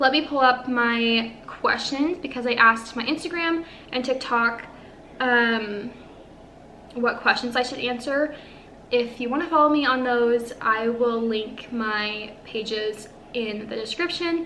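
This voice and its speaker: The voice has a bright, sharp tone and ordinary pitch variation. Audible room echo surrounds it. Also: woman, high pitch for a woman. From Northern California. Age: 20s. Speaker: lifestyle vlogger. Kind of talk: casual chat.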